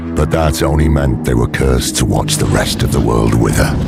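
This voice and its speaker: A man's put-on character voice at a fairly quick pace over loud background music. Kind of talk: dark fantasy narration. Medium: machinima. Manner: grave, solemn narration.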